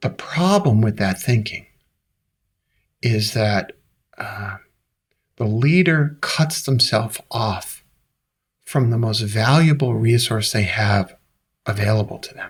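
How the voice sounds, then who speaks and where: In a very clean recording with a silent background, a somewhat breathy man with an American accent speaks very slowly at a medium pitch, with ordinary pitch variation and long, frequent pauses. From US Northeast, Brooklyn, New York. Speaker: leadership author and coach. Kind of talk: interview conversation.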